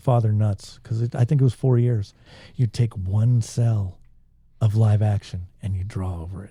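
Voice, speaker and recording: Speaking at a moderate pace with an American accent, a man has a dark, mellow, somewhat breathy tone, ordinary pitch variation and big swings in loudness. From Southern California. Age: 50s. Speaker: musician and songwriter. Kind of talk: casual chat.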